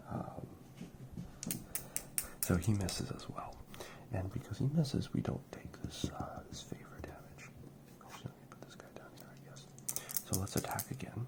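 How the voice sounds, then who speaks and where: A whisper moves fairly slowly while noticeable background noise runs underneath. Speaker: ASMR creator playing tabletop RPG. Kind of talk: solo RPG playthrough narration. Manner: whispered.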